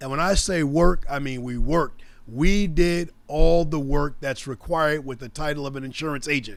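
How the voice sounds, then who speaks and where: Speaking at a moderate pace, a man with an unremarkable speaking voice and a fairly high pitch shows ordinary pitch variation and big swings in loudness. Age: 60s. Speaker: insurance agency owner and podcast host. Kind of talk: solo podcast monologue.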